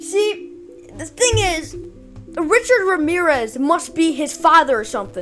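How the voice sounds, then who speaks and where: A woman at an extremely high pitch with very wide pitch swings, a fairly slow pace, and music in the background. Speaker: YouTuber commenting on news. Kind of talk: reaction rant. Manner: animated.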